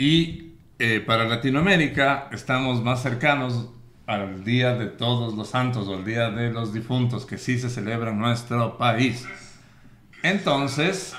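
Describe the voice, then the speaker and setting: A man speaks at a very slow pace and medium pitch, with ordinary pitch variation. Audible echo from the room surrounds his voice. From Quito, Ecuador. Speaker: podcast host. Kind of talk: casual chat. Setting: bookstore studio.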